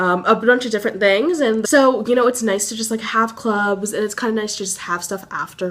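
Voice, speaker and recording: Fairly high-pitched woman's voice at a fairly quick pace, with ordinary pitch variation. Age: young. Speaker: college student vlogger. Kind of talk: casual vlog. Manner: fast.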